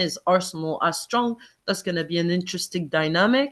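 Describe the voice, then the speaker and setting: Against a quiet background, a woman with a non-native accent and a fairly low pitch speaks at a moderate pace with lively intonation. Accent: foreign. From Quebec, Montreal. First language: Arabic. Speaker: football fan podcast guest. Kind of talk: casual chat.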